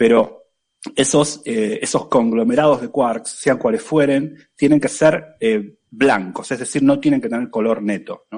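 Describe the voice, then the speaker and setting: A man speaks in an Argentine accent at a fairly high pitch. His intonation is lively and his pace fairly slow. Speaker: physics professor. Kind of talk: casual chat.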